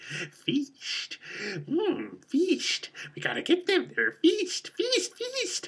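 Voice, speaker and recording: Extremely high in pitch and very slow, this is a put-on character voice. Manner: hissing, drawn-out, eager.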